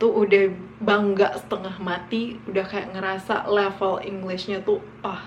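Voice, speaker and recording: A woman with a West Sumatran accent speaks fairly slowly at a medium pitch in monotone, flat intonation, with noticeable background noise and audible room echo. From West Sumatra, Indonesia (Minangkabau village near Bukittinggi). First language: Minangkabau (speaking Indonesian). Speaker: vlogger. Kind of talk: casual storytelling vlog. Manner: casual, with many fillers.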